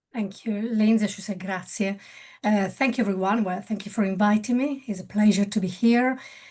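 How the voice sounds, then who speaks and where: Somewhat breathy, a woman speaks at a moderate pace in a medium pitch with fairly even intonation. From Italy. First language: Italian. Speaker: building surveyor. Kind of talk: panel interview. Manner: halting.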